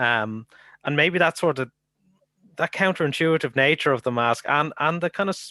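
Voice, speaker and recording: A man with an Irish accent speaks at a moderate pace in a bright, sharp tone with ordinary pitch variation, the sound dry and close with no echo and the background quiet. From Ireland. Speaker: academic researcher. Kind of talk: conference Q&A. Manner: halting.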